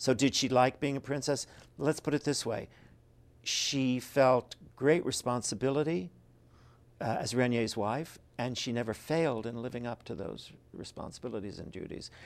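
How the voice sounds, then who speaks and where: An ordinary speaking voice from a man, medium in pitch with ordinary pitch variation, at a moderate pace in a very clean recording with a silent background. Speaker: author and biographer. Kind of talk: interview about his book.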